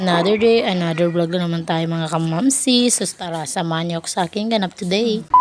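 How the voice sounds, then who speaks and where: With noticeable background noise, a woman with a fairly low pitch talks at a fairly quick pace, hardly pausing. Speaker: vlogger. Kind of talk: cooking vlog voice-over. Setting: voice-over. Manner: low-energy, flat.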